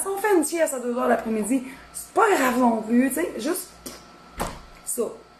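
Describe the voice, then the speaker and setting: Over noticeable background noise, a woman with a Quebec accent talks at a fairly slow pace and a high pitch, her pitch swinging very widely. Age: 30s. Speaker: cooking content creator. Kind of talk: casual live-stream chat. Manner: hesitant, lots of fillers.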